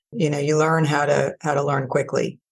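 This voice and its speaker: The speaker talks at a moderate pace with vocal fry. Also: woman. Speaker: corporate CFO. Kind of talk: interview. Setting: video call.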